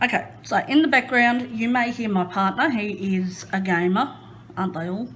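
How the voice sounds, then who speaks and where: Noticeable background noise sits behind a woman speaking at a fairly slow pace. Her pitch is medium, with ordinary variation. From Queensland, Australia. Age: 30s. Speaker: crafting YouTuber. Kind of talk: casual chat. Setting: home craft room.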